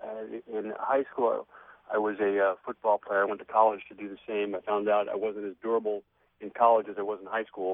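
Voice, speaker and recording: A man's normal speaking voice, fairly low in pitch, at a moderate pace with big swings in loudness. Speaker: guest author. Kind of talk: casual interview. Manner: humorous, upbeat.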